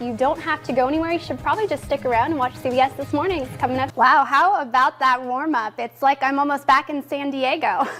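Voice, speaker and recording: Over music in the background, a woman with an American accent speaks at a very fast pace in a high pitch with ordinary pitch variation. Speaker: TV news anchor and reporter. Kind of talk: TV news anchor delivery.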